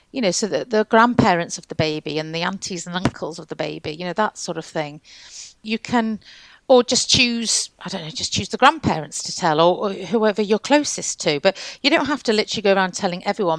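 A woman talks at a fairly quick pace in a normal speaking voice, medium in pitch, with lively intonation and big swings in loudness. The sound is dry and close, with no echo. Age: 50s. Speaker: midwife and lactation consultant. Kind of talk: interview conversation.

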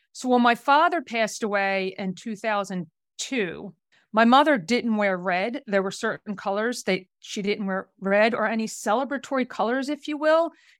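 A woman with an American accent has an unremarkable speaking voice at a fairly high pitch. She talks at a moderate pace with lively intonation. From South Jersey, US. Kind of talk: casual interview conversation.

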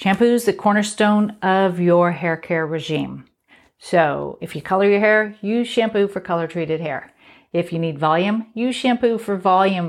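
A woman speaks at a fairly slow pace in an ordinary speaking voice, with ordinary pitch variation. The recording is very clean, with a silent background. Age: 50s. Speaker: beauty podcast host, hairstylist. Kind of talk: solo podcast tips monologue. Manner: casual, conversational.

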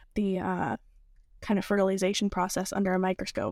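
A woman at a medium pitch with fairly even intonation, in a very clean recording with a silent background and a dry, close sound with no echo. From Massachusetts. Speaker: biotech student. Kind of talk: interview. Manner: many filler words.

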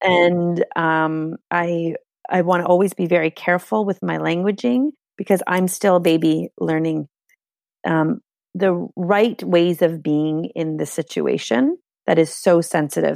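Over a quiet background, a woman with a Canadian accent talks at a fairly slow pace in a fairly low voice. Hers is an ordinary speaking voice with ordinary pitch variation. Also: dry, close sound with no echo. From Canada. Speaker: spiritual movement teacher and mother. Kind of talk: casual interview chat.

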